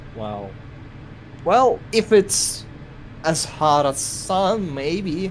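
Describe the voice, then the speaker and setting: Very slow, high-pitched male speech with very wide pitch swings, long, frequent pauses and noticeable background noise. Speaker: animation collaborator. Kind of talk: casual chat.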